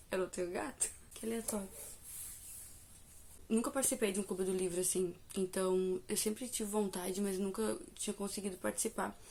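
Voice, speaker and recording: A woman with a medium pitch and a dark, mellow tone speaks with fairly even intonation. She leaves long, frequent pauses. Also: moderate pace. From Brazil. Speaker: book reviewer and devotional youtuber. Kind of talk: casual vlog review.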